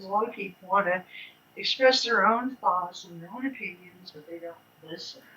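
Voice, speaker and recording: A woman's medium-pitched voice at a moderate pace, with ordinary pitch variation, big swings in loudness and noticeable background noise. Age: 70s. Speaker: spiritual teacher and author. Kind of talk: casual talk. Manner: animated.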